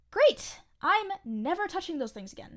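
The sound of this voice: A woman puts on a character voice at an extremely high pitch. The tone is fairly bright, with big pitch swings. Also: moderate pace.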